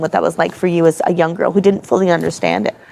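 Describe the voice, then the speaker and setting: A woman's speech comes through with noticeable background noise. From Canada. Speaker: interviewer, organization founder. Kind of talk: interview.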